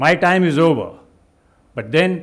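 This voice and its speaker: The speaker goes at a fairly slow pace, with audible echo from the room. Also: man. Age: 70s. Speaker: retired army general and keynote speaker. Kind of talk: keynote speech. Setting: stage with audience.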